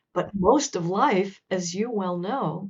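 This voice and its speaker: This woman's somewhat breathy voice sits at a medium pitch and moves at a fairly slow pace. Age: 60s. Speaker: author. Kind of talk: interview.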